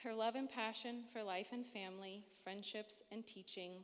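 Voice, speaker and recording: A woman speaks in an unremarkable speaking voice. Her pitch is medium, with ordinary pitch variation. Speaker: matron of honor giving wedding toast. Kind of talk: wedding speech. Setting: wedding reception with audience.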